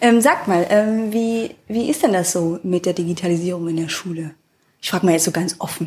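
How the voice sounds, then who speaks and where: There is a somewhat breathy woman here, speaking at a medium pitch and a moderate pace with ordinary pitch variation. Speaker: podcast host. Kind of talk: casual interview.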